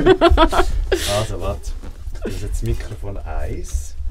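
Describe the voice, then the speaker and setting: A man talks very slowly, with noticeable background noise in the recording. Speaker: radio show co-host. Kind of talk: casual radio show banter.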